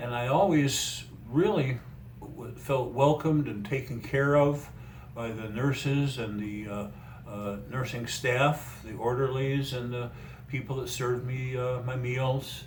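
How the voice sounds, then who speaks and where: A man's somewhat breathy voice at a fairly slow pace, with audible room echo. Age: 70s. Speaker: retired mental health worker and trainer. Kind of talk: interview. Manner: halting.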